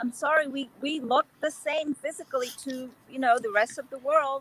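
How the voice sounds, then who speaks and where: At a moderate pace, a high-pitched woman with an American accent speaks in a dry, close sound with no echo. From Korean American community, US. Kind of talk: panel discussion.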